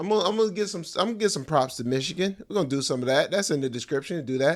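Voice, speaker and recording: The voice is animated, with lively intonation, at a very fast pace. The recording is very clean and the background silent. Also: man. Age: 40s. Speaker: stand-up comedian and podcast host. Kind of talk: casual solo podcast talk. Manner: slurred speech; casual, animated.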